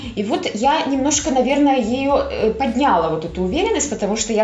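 With noticeable background noise behind her, a woman speaks at a moderate pace with lively intonation. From Belarus (Minsk). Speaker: astrologer and tarot reader. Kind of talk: casual interview chat.

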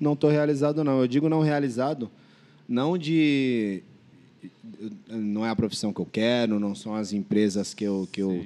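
A man speaks at a moderate pace in a medium pitch, his tone dark and mellow, with ordinary pitch variation. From São Vicente, São Paulo state, Brazil. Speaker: podcast guest. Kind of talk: casual chat.

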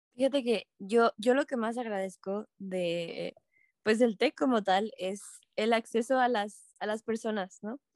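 Speaking slowly over a quiet background, a woman has a fairly high pitch and ordinary pitch variation in an unremarkable speaking voice. The sound is dry and close, with no echo. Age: 20s. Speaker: university student ambassador. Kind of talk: casual chat.

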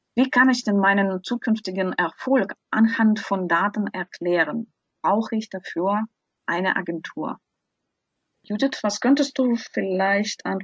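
A somewhat breathy woman talks at a fairly slow pace and medium pitch with ordinary pitch variation, the sound dry and close with no echo. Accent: non-native. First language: not German (speaking German). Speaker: podcast host, translator. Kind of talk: podcast interview.

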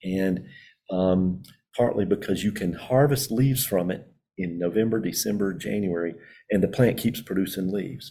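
This man has a very deep, low pitch and a dark, mellow tone. He speaks with a Southern US accent at a moderate pace. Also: ordinary pitch variation. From rural North Carolina Piedmont. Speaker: professor. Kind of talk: interview. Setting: video call from a computer lab.

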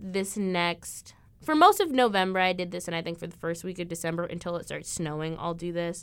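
With a Midwestern American accent, a woman talks in an animated tone at a medium pitch with ordinary pitch variation, and the recording is very clean with a silent background. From Illinois. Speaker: college podcast host. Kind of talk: casual chat. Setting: basement room.

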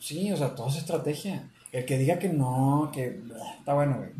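A man speaks at a fairly slow pace with a fairly high pitch. Audible room echo surrounds his voice. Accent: Mexican. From Mexico. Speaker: podcast co-host. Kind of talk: casual chat.

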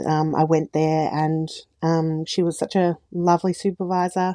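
Recorded with a quiet background and a dry, close sound with no echo, a woman with an Australian accent speaks in a dark, mellow tone at a very deep, low pitch with monotone, flat intonation. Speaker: speech pathologist. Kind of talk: casual interview chat.

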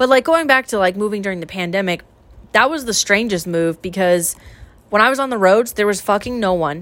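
A woman with an unremarkable speaking voice, a General American accent, a medium pitch, lively intonation, and a fairly quick pace. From US West (Idaho). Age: 20s. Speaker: podcast host. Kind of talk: casual chat.

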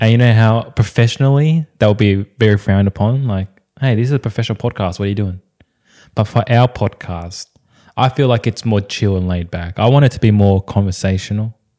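Speaking at a fairly quick pace, a man with an Australian accent has a fairly low pitch, a dark, mellow tone and ordinary pitch variation. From Australia, Vietnamese immigrant family. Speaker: podcast co-host. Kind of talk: casual chat.

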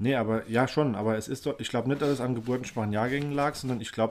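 In a very clean recording with a silent background, a man with a plain, everyday voice speaks at medium pitch with fairly even intonation. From Germany, Rhineland-Palatinate (Baumholder). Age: 30s. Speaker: podcast co-host. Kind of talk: casual chat.

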